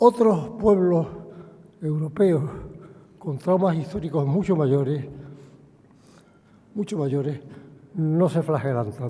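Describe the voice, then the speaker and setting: Speaking at a very slow pace with long, frequent pauses, a man uses lively intonation at a fairly high pitch. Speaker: chairman of a museum board. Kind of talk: formal introductory speech. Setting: lectern at public forum.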